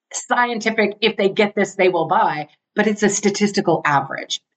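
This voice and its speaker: The woman's voice sits at a medium pitch with very even loudness and a dry, close sound with no echo. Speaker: international speaker and entrepreneur. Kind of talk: podcast interview. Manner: fast; animated.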